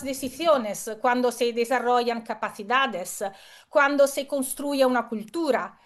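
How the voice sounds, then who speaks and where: A woman speaks in an Italian accent at a high pitch. Her pace is fairly slow. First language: Italian (speaking Spanish). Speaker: keynote speaker. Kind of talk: conference talk. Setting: video call.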